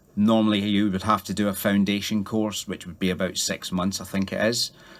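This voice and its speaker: At a moderate pace, a man talks in a fairly low, monotone, flat voice. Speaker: yoga teacher and former soldier. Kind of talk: radio interview.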